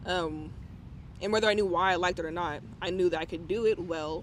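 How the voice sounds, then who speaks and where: His voice sits high in pitch. This man speaks with a monotone, flat intonation. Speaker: rapper. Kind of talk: casual chat. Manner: fast.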